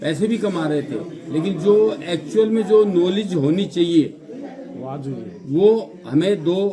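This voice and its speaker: Audible room echo and noticeable background noise surround a man speaking at a high pitch with ordinary pitch variation. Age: 50s. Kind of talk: testimonial speech.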